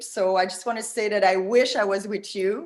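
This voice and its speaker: A woman with a slight French Canadian accent speaks at a fairly high pitch with ordinary pitch variation, and some room echo is audible. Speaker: tourism marketing consultant. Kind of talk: presentation. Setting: video call. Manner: animated.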